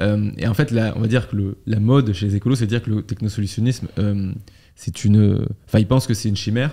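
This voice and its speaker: At a very fast pace, a man speaks with a fairly low pitch and a dark, mellow tone. His intonation stays fairly even. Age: 20s. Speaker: podcast host. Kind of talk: casual interview chat. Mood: casual, conversational. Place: studio. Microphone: studio mic.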